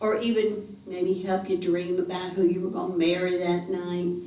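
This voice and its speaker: A woman with an American accent is heard over noticeable background noise. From North Carolina. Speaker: storyteller. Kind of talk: ghost story telling to a live audience. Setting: living room. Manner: theatrical, lively.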